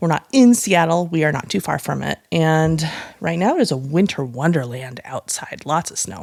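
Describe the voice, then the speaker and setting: Using an unremarkable speaking voice, a woman talks at a moderate pace and a fairly low pitch with lively intonation. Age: 40s. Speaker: podcast co-host. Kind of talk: casual chat. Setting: home, on the couch.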